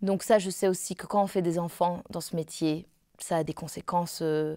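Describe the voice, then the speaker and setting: Against a quiet background, a woman with a fairly low voice speaks at a moderate pace, the sound dry with no echo. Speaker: opera singer; interviewee. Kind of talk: interview. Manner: halting. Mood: calm, reflective. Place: home room.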